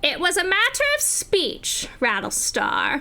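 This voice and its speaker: Over light background noise, a woman does a put-on character voice, raspy and extremely high, swinging very widely in pitch at a fairly slow pace. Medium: actual play.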